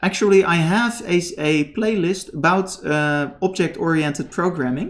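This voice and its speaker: Pitch shifts in an ordinary way while the delivery keeps a moderate pace. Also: man. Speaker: programming teacher. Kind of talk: live stream tutorial. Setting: live stream. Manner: halting.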